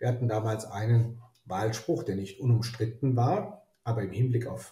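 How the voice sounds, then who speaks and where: Somewhat breathy and dark, mellow in tone, a man speaks at a medium pitch and a moderate pace. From Germany, Rhineland (Neuss). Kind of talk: interview. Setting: online call from his office.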